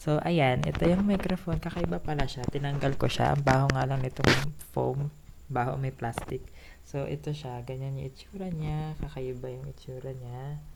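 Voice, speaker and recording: A woman's very deep, low-pitched voice at a moderate pace, with ordinary pitch variation, big swings in loudness and noticeable background noise. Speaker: vlogger. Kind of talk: casual vlog talk. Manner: speaking louder than usual. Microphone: new cheap lapel mic being tested.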